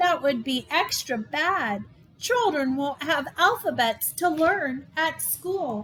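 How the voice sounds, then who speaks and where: In a put-on character voice, a woman speaks at a very slow pace and a high pitch. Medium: read story. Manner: eager.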